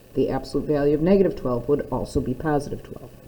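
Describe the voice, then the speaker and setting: A woman speaks with a very deep, low pitch. Her tone is dark and mellow, with ordinary pitch variation. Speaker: math teacher. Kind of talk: recorded lesson. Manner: fast.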